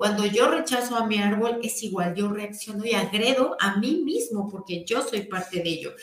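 A woman talks at a moderate pace with a fairly high pitch and ordinary pitch variation. Audible room echo and noticeable background noise surround her voice. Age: 40s. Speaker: energy healing teacher. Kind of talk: guided healing session; live stream talk. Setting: live stream.

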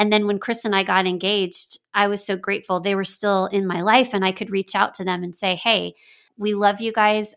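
The recording is very clean, with a silent background. A woman with an American accent uses an unremarkable speaking voice at medium pitch and a moderate pace. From Texas. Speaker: pastor and marriage author. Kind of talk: interview.

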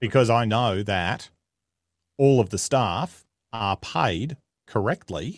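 A man with an Australian accent, medium pitch and ordinary pitch variation, in a dry, close recording with no echo. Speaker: comedian and media personality. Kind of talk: casual interview chat. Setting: remote call.

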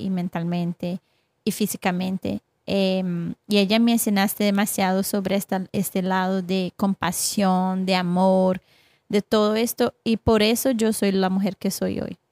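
In a Brazilian accent, a woman speaks at a fairly slow pace with medium pitch and fairly even intonation, the sound dry and close with no echo on a very clean recording with a silent background. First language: Portuguese (speaking Spanish). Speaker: accountability coach. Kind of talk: casual interview.

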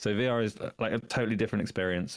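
Over a very clean recording with a silent background, a man with a British accent speaks at a very fast pace. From United Kingdom. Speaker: gaming podcast guest. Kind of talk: casual chat.

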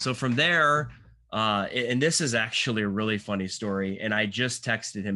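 The background is quiet as a man talks in an American accent. His tone is bright and sharp, with ordinary pitch variation. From Michigan. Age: 40s. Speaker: cinematographer. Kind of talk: casual chat.

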